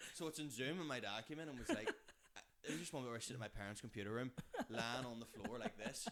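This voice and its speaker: A man talks very fast with a Belfast accent. His pitch is medium and varies in an ordinary way. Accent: Belfast Northern Irish. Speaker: comedian. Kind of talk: casual chat. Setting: kitchen.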